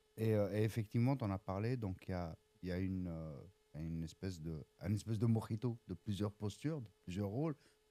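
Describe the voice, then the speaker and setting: A man speaks at a fairly quick pace, his pitch fairly low with ordinary variation and a dark, mellow tone. The sound is dry and close, with no echo. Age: 40s. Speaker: agile coach. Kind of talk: casual interview. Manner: hesitant, many fillers.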